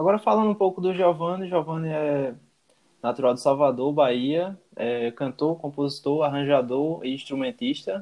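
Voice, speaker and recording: A man with a fairly high voice, an ordinary speaking voice, talks at a moderate pace with ordinary pitch variation. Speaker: podcast co-host. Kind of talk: casual chat with prepared notes.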